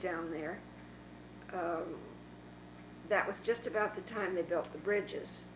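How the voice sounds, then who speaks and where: Noticeable background noise sits behind a woman who speaks at medium pitch with fairly even intonation. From Northern California, Dixon. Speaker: oral history interviewee. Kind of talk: oral history interview. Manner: halting.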